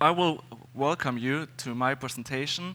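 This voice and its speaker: A man with a German accent speaks at a medium pitch with ordinary pitch variation and a bright, sharp tone, in a very clean recording with a silent background. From Germany. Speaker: security consultant and conference speaker. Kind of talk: conference talk. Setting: stage with audience. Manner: halting, many fillers.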